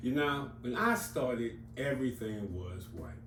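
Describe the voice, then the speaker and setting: Audible room echo colors the recording. A man speaks fairly slowly. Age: 60s. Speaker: comics YouTuber. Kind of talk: casual monologue. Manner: conversational, with fillers.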